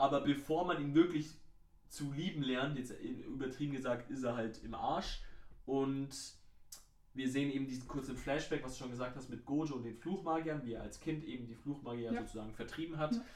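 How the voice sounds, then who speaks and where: Audible room echo hangs around the voice. A man speaks fairly quickly. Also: ordinary pitch variation. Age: 20s. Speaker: podcast co-host. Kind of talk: casual chat.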